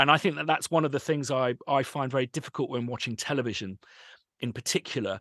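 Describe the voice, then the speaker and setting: The background is quiet and the sound dry and close with no echo. A man speaks with ordinary pitch variation. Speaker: composer and sample library company owner. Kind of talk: interview conversation. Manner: animated.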